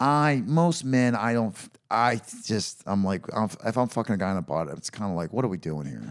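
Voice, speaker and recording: In an American accent, the voice moves at a moderate pace with very wide pitch swings. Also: man, fairly low pitch for a man. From United States. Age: 30s. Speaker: podcast host. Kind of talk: casual chat.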